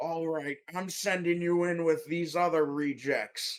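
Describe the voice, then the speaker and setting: A man puts on a character voice, pitched high and delivered fairly slowly. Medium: actual play. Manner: yelling, bossy.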